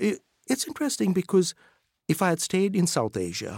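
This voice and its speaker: Speech moves at a fairly quick pace in a very clean recording with a silent background. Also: man, dry, close sound with no echo. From Sri Lanka. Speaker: professor. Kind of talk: interview.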